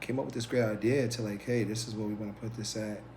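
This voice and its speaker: With music in the background and audible room echo, a man with an American accent speaks at a fairly low pitch. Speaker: podcast co-host. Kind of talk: casual chat. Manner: halting, many fillers.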